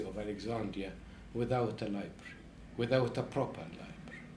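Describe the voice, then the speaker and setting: The voice is somewhat breathy, with audible room echo around it. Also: man. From Egypt. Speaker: professor. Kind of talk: interview. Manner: halting.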